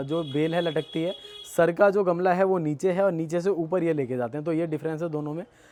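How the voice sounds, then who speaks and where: A man's high voice sits over music playing in the background. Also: fairly even intonation. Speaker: gardening YouTuber, host. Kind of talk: casual talk to camera, garden tour.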